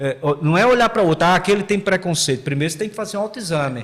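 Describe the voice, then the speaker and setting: A man talks at a very fast pace with a high pitch and lively intonation. Noticeable background noise runs beneath him. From Paraíba, Brazil (João Pessoa area). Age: 60s. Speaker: history professor. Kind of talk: podcast interview. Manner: halting, many repetitions and fillers.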